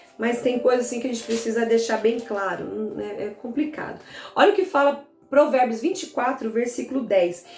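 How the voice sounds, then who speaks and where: Over noticeable background noise and audible room echo, a woman talks at a high pitch with lively intonation. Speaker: pastor. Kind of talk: bible teaching. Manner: fast.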